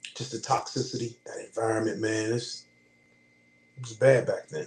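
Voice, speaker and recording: A man with an American accent speaks at a moderate pace and medium pitch, showing ordinary pitch variation. His voice carries vocal fry and big swings in loudness. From Pittsburgh, US. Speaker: Marine veteran. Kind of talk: casual interview.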